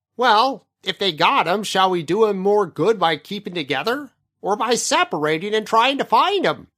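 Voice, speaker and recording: Someone does a put-on character voice at a moderate pace. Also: man, high pitch for a man, lively intonation. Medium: read story. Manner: dry, matter-of-fact.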